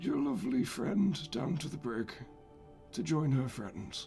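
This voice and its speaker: Over clear music in the background, a man puts on a raspy character voice with a fairly high pitch and a fairly slow pace. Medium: actual play. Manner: cold, commanding.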